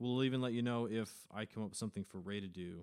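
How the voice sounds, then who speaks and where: The pace is fairly quick and the intonation fairly even. The recording is very clean, with a silent background. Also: man. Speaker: podcast host. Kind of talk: casual chat.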